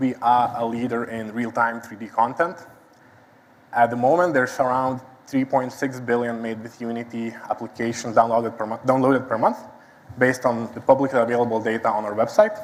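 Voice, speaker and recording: A man with a Lithuanian accent talks at a fairly quick pace in a medium pitch, his intonation flat and monotone while his loudness swings widely. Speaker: site reliability engineer. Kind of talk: conference talk. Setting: stage with audience.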